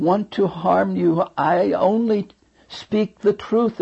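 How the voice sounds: Ordinary pitch variation shapes a natural reading voice.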